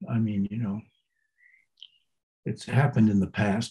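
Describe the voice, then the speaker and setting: A man's fairly low, somewhat breathy voice with a dark, mellow tone and an American accent. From New England, US. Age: 80s+. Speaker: Zen teacher. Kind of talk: interview. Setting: podcast. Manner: halting.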